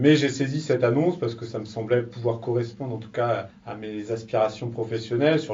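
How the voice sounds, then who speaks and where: A somewhat breathy male voice at medium pitch, fairly quick in pace, with audible room echo. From France, Laval (Mayenne). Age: 30s. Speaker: business incubator manager. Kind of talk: interview. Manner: hesitant, many fillers.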